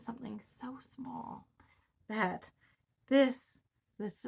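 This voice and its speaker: This woman speaks with vocal fry. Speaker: Bible teacher. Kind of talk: Bible study teaching. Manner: halting.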